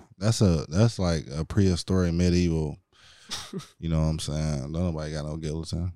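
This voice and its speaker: A man with an American accent talks at a fairly quick pace, his pitch very deep and low. His intonation stays fairly even, and the tone is dark and mellow. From Chicago, then Hammond, Indiana. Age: 20s. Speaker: podcast guest. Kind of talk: casual chat.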